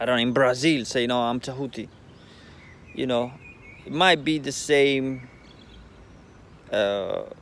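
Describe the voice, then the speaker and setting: Speaking with a non-native accent, a man talks at a fairly slow pace, medium pitch and fairly even intonation. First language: not English. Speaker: spiritual vlogger. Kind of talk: casual monologue. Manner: halting.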